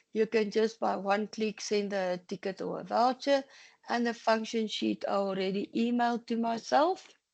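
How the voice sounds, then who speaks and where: The speaker has a plain, everyday voice at a moderate pace. The sound is dry and close with no echo, over a quiet background. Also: woman. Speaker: software trainer. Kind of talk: tutorial.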